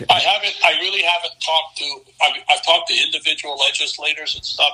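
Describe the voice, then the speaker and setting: A man talks at a fairly quick pace. Music is playing in the background. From Hawaii. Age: 70s. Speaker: real estate expert. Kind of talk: interview.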